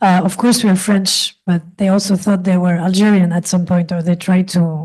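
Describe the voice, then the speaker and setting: A woman speaks fairly quickly at a medium pitch, her voice somewhat breathy with a dark, mellow tone. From France, Paris. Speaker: film director. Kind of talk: panel discussion.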